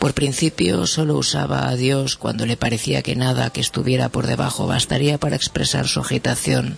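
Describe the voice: This is simply plain reading aloud.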